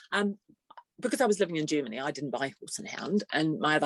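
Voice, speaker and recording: A woman with a New Zealand accent speaks with lively intonation in a dry, close sound with no echo. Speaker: trade association executive. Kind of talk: podcast interview.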